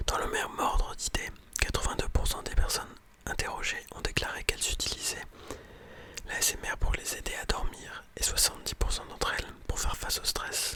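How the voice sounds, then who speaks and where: Whispering, a man speaks at a moderate pace. Noticeable background noise is present. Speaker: ASMR content creator and student. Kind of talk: whispered ASMR reading and commentary on a scientific article. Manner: whispered, soft-spoken, casual.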